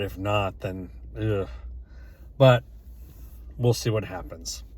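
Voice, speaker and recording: This man speaks at a very slow pace. His voice is somewhat breathy. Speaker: vlogger. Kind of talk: personal vlog monologue. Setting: in a car. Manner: halting, many fillers.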